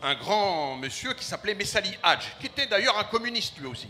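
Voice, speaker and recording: A man's raised, projected voice, high in pitch, with very wide pitch swings. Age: 60s. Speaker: community association leader, audience member. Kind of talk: audience comment at a public debate. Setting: festival stand with live audience. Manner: hesitant, repeats words.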